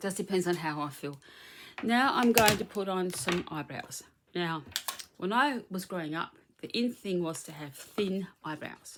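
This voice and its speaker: A woman's ordinary speaking voice at medium pitch, moderate in pace, with lively intonation and big swings in loudness. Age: middle-aged. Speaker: beauty vlogger. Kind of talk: makeup tutorial. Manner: casual, chatty.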